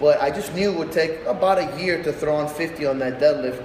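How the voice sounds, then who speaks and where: A man's fairly high-pitched voice with ordinary pitch variation and a fairly quick pace, amid audible room echo and noticeable background noise. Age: 30s. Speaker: strongman athlete and gym owner. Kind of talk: casual vlog monologue. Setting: warehouse gym. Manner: loud.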